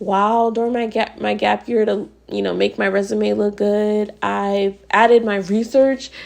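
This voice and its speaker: A woman at a fairly slow pace, with hardly any pauses. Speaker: podcast host, recent college graduate. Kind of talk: solo podcast, casual reflective talk to camera.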